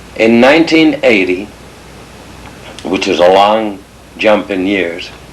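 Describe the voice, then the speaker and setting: A very slow, fairly low-pitched man with lively intonation, amid noticeable background noise and audible room echo. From England (Liverpool) until age eight, then emigrated. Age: 70s. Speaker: family elder telling family history. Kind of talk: oral history storytelling. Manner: slow, halting with self-corrections.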